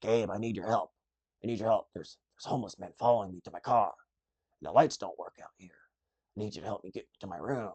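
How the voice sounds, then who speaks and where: Using a put-on character voice, a man talks at a very fast pace with long, frequent pauses and an anxious tone. His pitch is medium, and his intonation stays fairly even. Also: big swings in loudness. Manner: anxious, pleading.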